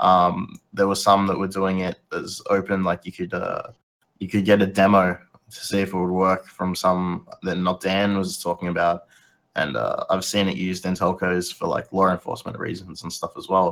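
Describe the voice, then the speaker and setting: A man talks in a very deep, low voice with a flat, monotone delivery. The recording is very clean, with a silent background. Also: moderate pace. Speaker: co-host, infosec hobbyist. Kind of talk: casual chat. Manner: casual, swears.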